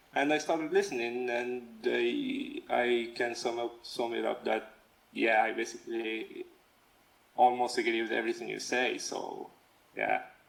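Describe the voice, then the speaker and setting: This man speaks at a fairly slow pace while noticeable background noise carries on behind him. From Algeria, North Africa. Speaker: freelance comic and manga artist. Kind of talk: casual interview chat. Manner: halting, many fillers and restarts.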